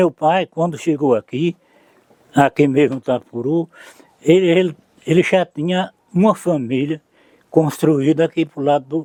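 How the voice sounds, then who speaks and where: This man has a dark, mellow tone and a fairly high pitch, with ordinary pitch variation at a moderate pace. Long, frequent pauses break his speech, and the sound is dry and close with no echo. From Bahia, Brazil (Irecê region). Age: 80s+. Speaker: elderly local resident. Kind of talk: oral history interview.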